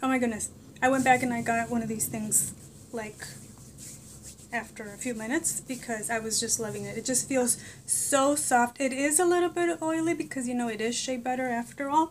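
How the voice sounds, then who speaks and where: Talking at a fairly quick pace, a woman with a Spanish accent uses a high pitch and ordinary pitch variation. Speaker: vlogger. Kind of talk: casual product review vlog. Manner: animated.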